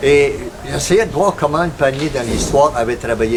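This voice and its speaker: A man's fairly high-pitched voice with lively intonation over noticeable background noise. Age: 70s. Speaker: missionary. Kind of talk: missionary appeal with devotional reflection. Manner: halting, frequent hesitations.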